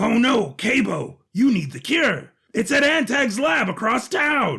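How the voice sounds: Doing a put-on character voice, a man speaks slowly at an extremely high pitch with big pitch swings, a bright, sharp tone, a husky, rough edge and vocal fry.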